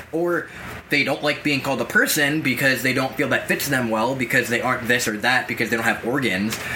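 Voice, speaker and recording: A man speaks at a fairly quick pace with an American accent, medium pitch, and ordinary pitch variation. His loudness stays very even over noticeable background noise. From Massachusetts, US. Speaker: podcast co-host. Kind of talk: casual discussion.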